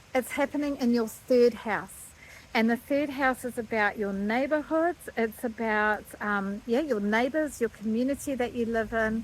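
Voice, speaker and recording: At a fairly high pitch, a woman with an ordinary speaking voice talks at a moderate pace with ordinary pitch variation. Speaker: astrologer. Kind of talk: astrology forecast monologue. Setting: outdoors.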